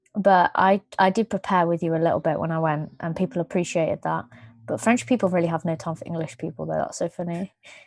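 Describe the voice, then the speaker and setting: A woman with a British accent speaks at a very fast pace, her fairly low pitch carrying vocal fry and ordinary pitch variation. The background is quiet, and the sound is dry and close with no echo. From UK. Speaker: podcast co-host. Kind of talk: casual chat.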